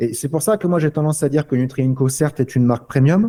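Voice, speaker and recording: A man speaks with a fairly high pitch. His pitch moves in an ordinary way. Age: 30s. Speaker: company founder. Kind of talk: podcast interview. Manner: halting.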